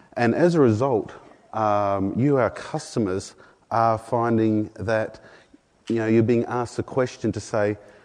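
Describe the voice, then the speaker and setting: An Australian accent at a fairly slow pace against a quiet background. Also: man. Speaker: product marketing manager. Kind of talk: conference presentation. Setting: conference room with audience. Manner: many filler words.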